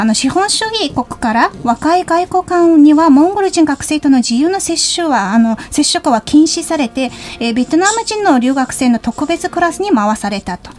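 Over noticeable background noise, a woman speaks at a moderate pace with hardly any pauses, her high pitch swinging very widely. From Mongolia. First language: Mongolian (speaking Japanese). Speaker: radio host. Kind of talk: radio interview. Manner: hesitant, frequent fillers.

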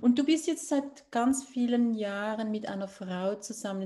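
Somewhat breathy, a woman talks at a fairly high pitch. Her pace is fairly slow. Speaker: podcast host, author. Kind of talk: interview.

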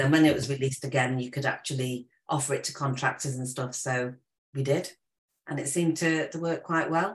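A woman speaks at a very deep, low pitch with a somewhat breathy voice. Her pace is fairly quick and her intonation fairly even. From Stoke-on-Trent, England. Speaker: solicitor and property investor. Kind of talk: interview.

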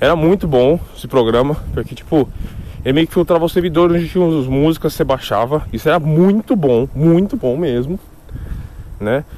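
A man's fairly high-pitched voice with ordinary pitch variation, at a moderate pace, over noticeable background noise. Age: 20s. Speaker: podcaster. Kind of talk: solo casual monologue. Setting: walking outdoors.

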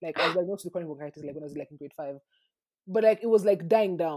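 Here is a woman with a medium pitch and a dark, mellow tone. Her intonation is lively. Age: 20s. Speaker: podcast host. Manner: fast talker.

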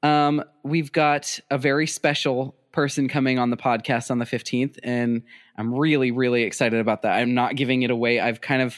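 Speaking with an American accent in a normal speaking voice, a man talks at a medium pitch and a fairly quick pace with fairly even intonation. The recording is very clean with a silent background, and the sound is dry and close with no echo. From US Midwest (South Dakota). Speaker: podcast host. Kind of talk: storytelling; casual chat.

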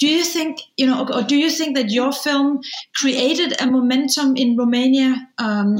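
A woman with a Danish accent speaks high in pitch at a moderate pace, her intonation fairly even. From Denmark. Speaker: film director and interviewer. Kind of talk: interview.

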